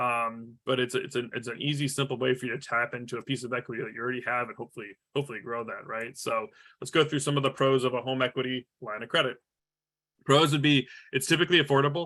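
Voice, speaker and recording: The man's intonation is fairly even. He speaks at a very fast pace. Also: medium pitch for a man. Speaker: franchise sales executive. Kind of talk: webinar presentation. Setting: online webinar. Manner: halting, many fillers and repetitions.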